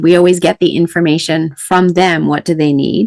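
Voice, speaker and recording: An ordinary speaking voice from a woman, fairly low in pitch, at a moderate pace with ordinary pitch variation. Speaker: podcast host. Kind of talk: interview question.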